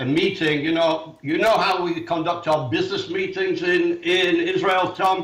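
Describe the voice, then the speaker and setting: With a British accent, a man speaks at a moderate pace amid audible room echo. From England. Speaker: author and activist. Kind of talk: casual chat.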